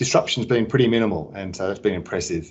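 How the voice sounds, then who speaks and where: Fairly low in pitch, a man talks in an Australian accent. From Australia, Sydney. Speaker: business executive. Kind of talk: interview.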